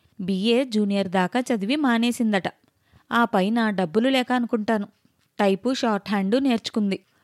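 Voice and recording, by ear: The background stays quiet. Over it comes someone reading aloud in a natural voice.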